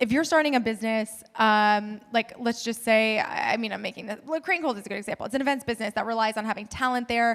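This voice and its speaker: A woman speaks very fast in a fairly high voice, with ordinary pitch variation. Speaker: company founder. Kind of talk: live panel Q&A. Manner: casual, filler-heavy.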